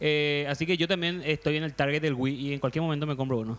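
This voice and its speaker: In a very clean recording with a silent background, a man has a plain, everyday voice at a fairly high pitch. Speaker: podcast panelist. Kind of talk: casual chat.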